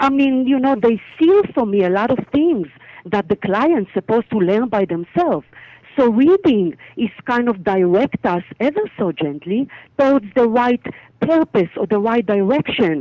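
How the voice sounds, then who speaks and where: Speaking with an Israeli accent, a woman uses a fairly high pitch with very wide pitch swings. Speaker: psychic medium. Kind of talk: interview.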